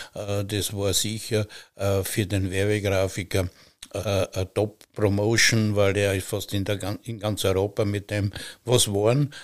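A man speaks very slowly at a fairly low pitch with monotone, flat intonation. The recording is very clean, with a silent background. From Austria, Styria. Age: 70s. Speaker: master butcher. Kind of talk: casual chat. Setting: wooden farm granary.

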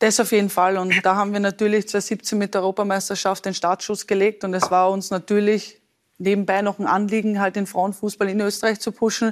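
This woman has a medium-pitched voice and a fairly quick pace. Her intonation is monotone and flat. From Austria, Lower Austria. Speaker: professional football goalkeeper. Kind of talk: talk show interview.

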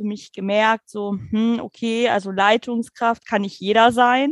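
Against a quiet background, the voice moves at a fairly slow pace with hardly any pauses and flat, monotone intonation, the sound dry and close with no echo. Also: woman. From Germany, near Dutch border. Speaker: nursing care manager. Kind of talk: interview.

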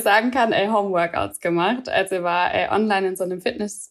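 A woman's normal speaking voice, fairly quick in pace, with ordinary pitch variation. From Swabia, southern Germany. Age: 20s. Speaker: office worker and program participant. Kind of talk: casual interview chat.

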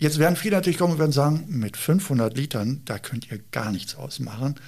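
Over a silent background on a very clean recording, a man with a fairly high pitch and a somewhat breathy voice talks at a fairly quick pace with ordinary pitch variation. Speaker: police helicopter pilot. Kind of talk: interview. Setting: on location at police helicopter base.

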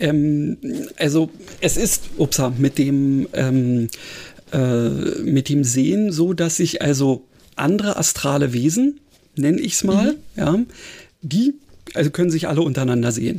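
Fairly high pitch for a man, a dark, mellow tone, lively intonation, very even loudness, and a fairly slow pace broken by long, frequent pauses. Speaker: podcast co-host. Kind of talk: casual chat. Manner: hesitant, many fillers.

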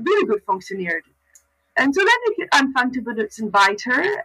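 A woman speaks in a raised, projected voice with a bright, sharp tone and a high pitch. Her very wide pitch swings come at a moderate pace, in a dry, close sound with no echo. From Canada. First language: English (also Dutch) (speaking German). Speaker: farrier. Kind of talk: casual interview. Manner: halting, mixing German, English and Dutch.

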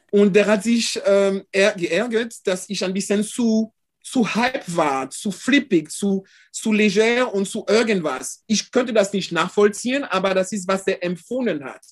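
With a French accent, a man talks at a high pitch and a fairly slow pace. The background is quiet. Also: ordinary pitch variation. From France, Caribbean parents. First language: French (speaking German). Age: 50s. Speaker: photographer. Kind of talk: casual interview. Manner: halting.

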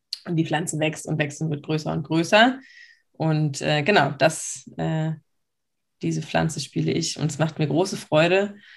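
A woman speaks at a very deep, low pitch with vocal fry and ordinary pitch variation. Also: moderate pace. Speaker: podcast co-host. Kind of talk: casual chat. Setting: video call.

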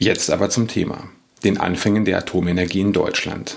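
A man speaks in a normal speaking voice at a fairly low pitch. He keeps a moderate pace. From Lower Rhine, western Germany. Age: 40s. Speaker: historian and podcast host. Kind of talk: scripted narration.

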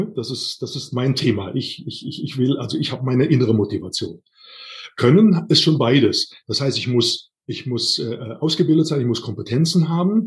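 A man's voice, a bit breathy, moves with lively ups and downs. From Rhineland, Siebengebirge near Bonn. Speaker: workplace health and safety trainer. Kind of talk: interview.

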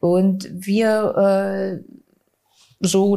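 Her pitch sits at a medium level. The woman keeps a fairly even intonation. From Bavaria, Regensburg. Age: 40s. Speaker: stage actress and director. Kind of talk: interview.

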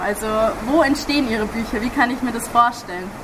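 Noticeable background noise sits behind a woman's high-pitched voice. She talks at a fairly quick pace with ordinary pitch variation. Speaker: podcast host and interviewer. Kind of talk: interview. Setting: outdoors by a river.

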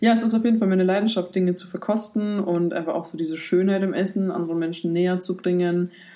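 A woman's dark, mellow voice at medium pitch, fairly quick, with fairly even intonation. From Poland. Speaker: retreat cook and YouTuber. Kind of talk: personal testimony in interview.

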